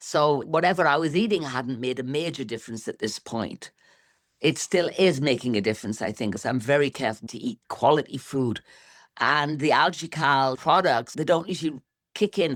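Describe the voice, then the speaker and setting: The recording is very clean with a silent background. A woman speaks at a very deep, low pitch with lively intonation. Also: moderate pace. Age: 60s. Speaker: interviewee sharing health results. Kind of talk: interview testimony.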